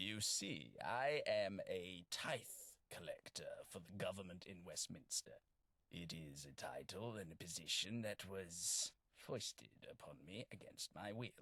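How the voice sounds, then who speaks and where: Putting on a character voice, a man talks at a fairly slow pace and a fairly low pitch. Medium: video game. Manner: polite, formal, wry.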